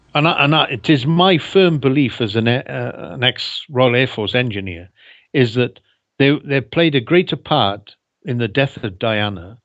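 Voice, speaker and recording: In a Welsh accent, a man speaks at a moderate pace and medium pitch with lively intonation. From Wales. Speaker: ex-air force engineer. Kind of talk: interview.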